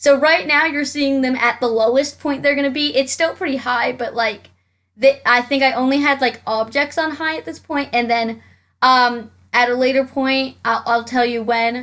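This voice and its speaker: A woman speaks loudly in a high pitch with fairly even intonation. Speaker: Sims game YouTuber. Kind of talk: gameplay commentary. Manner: fast.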